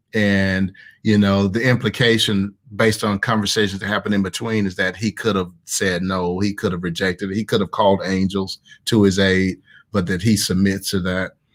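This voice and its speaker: A man with a Southern accent at a fairly low pitch and fairly quick pace. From US South, Mississippi. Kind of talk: online group discussion with teaching. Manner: animated.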